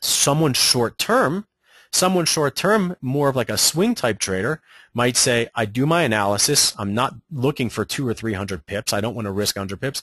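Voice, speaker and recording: Lively intonation marks this man's medium-pitched voice with an American accent, recorded dry and close with no echo over a quiet background. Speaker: trading educator. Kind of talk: webinar presentation. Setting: online webinar. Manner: fast.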